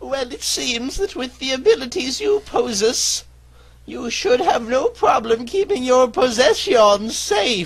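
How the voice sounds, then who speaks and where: The speaker uses a put-on character voice with a fairly high pitch. The delivery is fairly slow. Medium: machinima.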